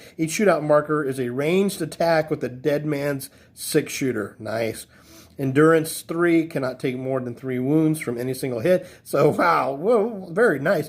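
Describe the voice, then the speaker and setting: Here a man speaks at a fairly high pitch. His pace is moderate, and his pitch varies in an ordinary way. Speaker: board game reviewer. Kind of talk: product review walkthrough. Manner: casual, halting with fillers.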